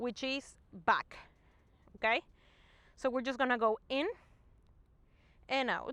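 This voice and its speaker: Calm in tone, a woman with a non-native accent speaks at a high pitch with ordinary pitch variation, in a dry, close sound with no echo. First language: not English. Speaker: movement and fitness instructor. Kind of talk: guided exercise class. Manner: calm, encouraging instruction.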